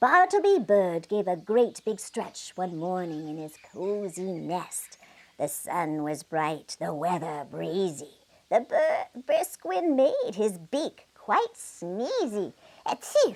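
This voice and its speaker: A female-sounding put-on character voice at a medium pitch for a woman, speaking at a very slow pace. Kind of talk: bedtime story. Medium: read story. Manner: animated, rhyming cadence.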